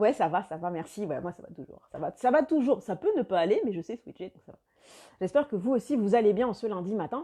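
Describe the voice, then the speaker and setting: A woman's dark, mellow voice at medium pitch, with very wide pitch swings, big shifts in loudness and a fairly quick pace, over a quiet background. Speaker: life coach. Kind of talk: live video chat with viewers. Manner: fast.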